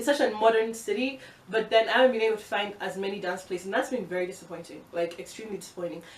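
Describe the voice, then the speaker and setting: A woman's animated, very fast speech at medium pitch, with ordinary pitch variation, big swings in loudness and noticeable background noise. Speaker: vlogger. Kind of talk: casual vlog monologue.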